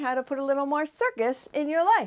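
A woman speaks with an American accent over a quiet background. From US, New Hampshire. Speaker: public speaker. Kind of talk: promotional introduction. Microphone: lapel.

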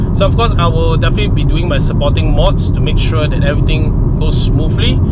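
A man is speaking, the sound dry with no echo. Loud background noise runs behind him. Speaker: car vlogger. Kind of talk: casual vlog chat. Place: car. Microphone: phone near.

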